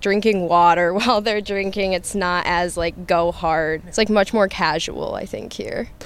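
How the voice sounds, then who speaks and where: At a moderate pace, a woman with an American accent talks in a medium pitch. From US Midwest, Michigan. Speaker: international student. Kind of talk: interview answers.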